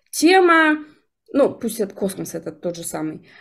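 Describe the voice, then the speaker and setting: The setting has a quiet background. Here a woman talks at a moderate pace. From Yakutia, Russia. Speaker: jaw harp instructor and NLP coach; jaw harp instructor, NLP coach. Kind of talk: interview. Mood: reflective. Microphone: video call.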